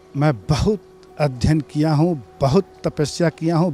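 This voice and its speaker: A man talks over background music, his pitch varying in an ordinary way. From eastern Uttar Pradesh, Gorakhpur. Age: 60s. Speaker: devotee, school owner. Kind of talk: interview testimony.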